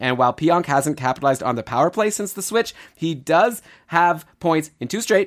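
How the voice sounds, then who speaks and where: A man talks in a high voice with an animated tone. His intonation is lively. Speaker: fantasy hockey podcast host. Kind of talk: casual chat. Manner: fast.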